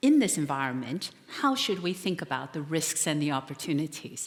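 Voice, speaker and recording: A woman with an American accent, very deep and low in pitch, at a moderate pace. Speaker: economist and author. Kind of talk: conference keynote speech.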